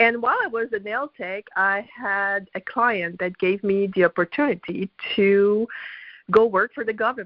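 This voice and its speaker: A woman speaks at a fairly slow pace in a French Canadian accent. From Quebec, Canada. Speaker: network marketing distributor. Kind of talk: personal testimony.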